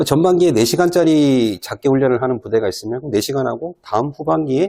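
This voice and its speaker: Very clean recording of a man with a dark, mellow tone and very wide pitch swings, against a silent background. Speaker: exam prep instructor. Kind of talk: lecture. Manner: fast.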